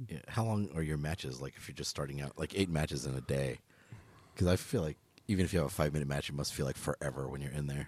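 Very deep and low in pitch, a man with an American accent and vocal fry speaks at a very fast pace with ordinary pitch variation. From Los Angeles, Echo Park. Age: 30s. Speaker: podcast host. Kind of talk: casual chat.

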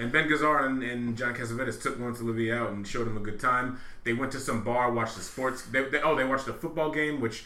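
A man speaks very fast at a medium pitch, with hardly any pauses and fairly even intonation. Noticeable background noise and audible room echo fill the recording. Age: 30s. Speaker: returning podcast guest, film fan. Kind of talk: casual chat.

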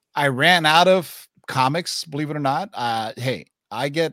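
A man talks with a bright, sharp tone. His pitch variation is ordinary. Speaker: comic book show host. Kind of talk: casual chat. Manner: animated.

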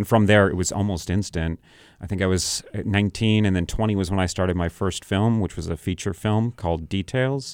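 A man with an American accent talks at a fairly quick pace in a normal speaking voice, his pitch fairly low. His intonation stays fairly even, and the recording is very clean with a silent background. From New Hampshire, US (Sandown). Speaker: film director. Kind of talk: interview. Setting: radio studio.

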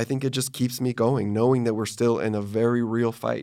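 A man speaks at a moderate pace and medium pitch with fairly even intonation, on a very clean recording with a silent background. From Texas. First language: Spanish. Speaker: publishing marketing director. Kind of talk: interview.

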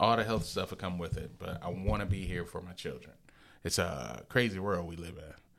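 With vocal fry and a very deep, low pitch, a man talks at a fairly quick pace, showing ordinary pitch variation and big swings in loudness. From Lansing area, Michigan. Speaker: DJ and business owner. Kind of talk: casual chat. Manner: animated.

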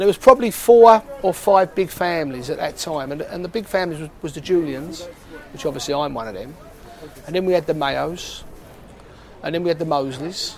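Noticeable background noise sits behind a man talking at a fairly quick pace with a high pitch. His intonation is lively, and his loudness swings widely. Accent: Cockney. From East London, Hackney. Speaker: market trader. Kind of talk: interview.

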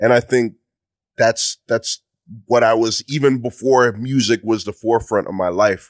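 A man with a medium pitch talks at a moderate pace with fairly even intonation on a very clean recording with a silent background. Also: dry, close sound with no echo. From Mississauga, Ontario, Canada (Ghanaian parents). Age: 30s. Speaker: music producer and rapper. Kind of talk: casual interview chat.

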